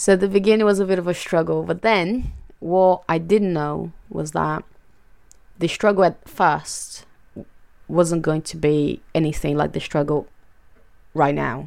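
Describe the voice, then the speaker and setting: Speaking with a Portuguese accent, a woman takes long, frequent pauses. Her pace is fairly slow and her pitch varies in an ordinary way. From Brazil, Fortaleza (northeast). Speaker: mother, immigrant sharing personal story. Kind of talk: personal testimony.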